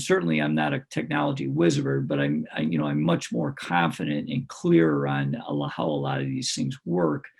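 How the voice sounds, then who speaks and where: A man talks with hardly any pauses while noticeable background noise runs underneath. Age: 60s. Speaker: retired basketball coach, personal coach. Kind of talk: podcast interview. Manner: hesitant, many fillers.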